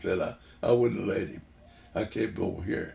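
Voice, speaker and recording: At a moderate pace, a man speaks with vocal fry. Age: 80s+. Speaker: WWII Navy veteran. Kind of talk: interview answer.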